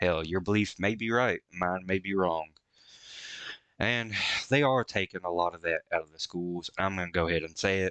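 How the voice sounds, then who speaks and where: A man with a Southern US accent and a very deep, low pitch, at a moderate pace, dry and close with no echo over a quiet background. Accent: American country. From rural US. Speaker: VTuber reacting to music. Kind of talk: reaction commentary.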